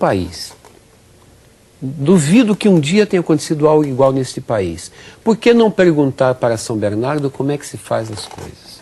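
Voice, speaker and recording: At a moderate pace, a man with a fairly high pitch speaks with very wide pitch swings and big swings in loudness over noticeable background noise. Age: 60s. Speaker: physical education professor. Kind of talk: interview.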